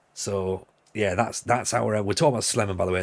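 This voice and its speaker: A man with a northeast English accent talks at a fairly low pitch while music plays in the background. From northeast England, Sunderland. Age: 40s. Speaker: football game streamer. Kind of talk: casual live-stream chat. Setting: live stream.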